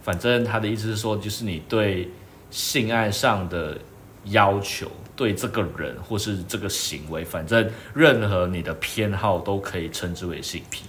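Speech with ordinary pitch variation comes at a fairly slow pace, and audible room echo hangs around it. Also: man. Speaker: podcast co-host. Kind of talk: casual chat.

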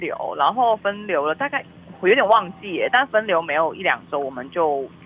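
Animated in tone, a woman speaks at a moderate pace with very wide pitch swings. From Malaysia. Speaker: film publicist. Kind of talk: casual interview. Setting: remote online call. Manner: lively, animated.

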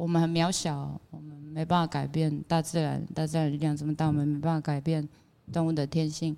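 A woman with a fairly low pitch speaks on a very clean recording, the background silent. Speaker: singer. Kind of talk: casual chat. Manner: loud.

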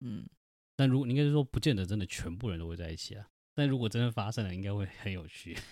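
Talking very fast with lively intonation, a man uses a fairly low, dark, mellow voice in a very clean recording with a silent background. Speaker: podcast host, father. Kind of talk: casual chat. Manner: animated.

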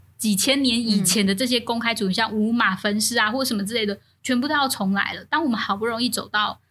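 A woman speaks at a fairly quick pace with a fairly high pitch and a bright, sharp tone, keeping her intonation fairly even. The recording is very clean, with a silent background. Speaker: podcast co-host. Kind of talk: casual chat.

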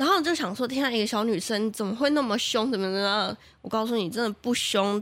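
Speaking at a very fast pace in an animated tone, a woman with a fairly high voice shows ordinary pitch variation in a very clean recording with a silent background. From Taiwan, Taichung. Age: 20s. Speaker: radio marketing planner and host. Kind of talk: casual interview chat. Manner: animated, laughs often.

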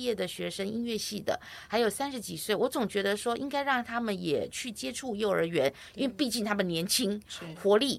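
In a Taiwanese accent, a woman speaks with lively intonation. The recording is very clean and the background silent. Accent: Taiwanese Mandarin. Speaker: music teacher for seniors. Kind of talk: interview.

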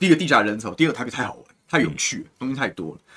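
At a very fast pace, a man speaks in a bright, sharp tone with very wide pitch swings. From Taiwan, Taoyuan. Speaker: city councillor. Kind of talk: political interview chat. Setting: studio live stream.

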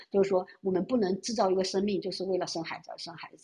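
A woman at medium pitch and a very fast pace. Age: 30s. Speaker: caller. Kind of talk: casual chat.

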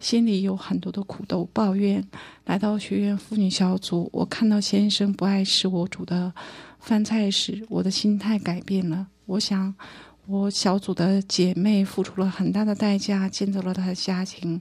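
A woman's somewhat breathy voice at medium pitch, fairly slow and monotone with flat intonation, in a very clean recording with a silent background. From northeast China (Harbin). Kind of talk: testimony.

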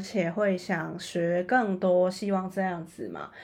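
A woman speaks at a medium pitch with fairly even intonation. Hers is an unremarkable speaking voice. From Macau. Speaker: podcast host. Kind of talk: interview.

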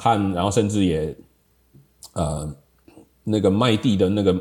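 This man talks fairly quickly. The rise and fall of his pitch is ordinary. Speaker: software industry professional, high school alumnus. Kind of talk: casual reminiscing interview.

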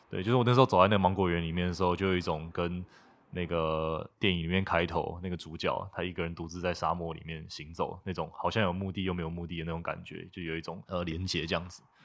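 On a very clean recording with a silent background, a man with a very deep, low pitch talks at a very fast pace in a monotone, flat intonation. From Taiwan, Taipei. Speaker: recent architecture graduate. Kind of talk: casual interview. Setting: guesthouse in Tainan.

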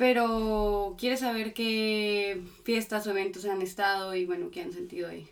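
A woman with a plain, everyday voice speaks at a fairly high pitch with ordinary pitch variation. Her pace is fairly slow, with hardly any pauses. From Colombia. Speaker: interpreter. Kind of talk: interpreting.

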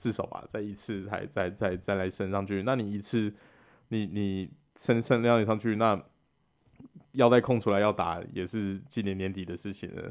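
A man speaks at a moderate pace in a plain, everyday voice, his fairly low pitch held in fairly even intonation. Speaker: podcast co-host. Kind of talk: casual chat.

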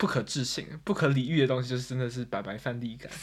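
A man with an unremarkable speaking voice talks fairly quickly at a medium pitch, keeping his intonation fairly even. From Taiwan. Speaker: podcast host. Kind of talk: casual chat.

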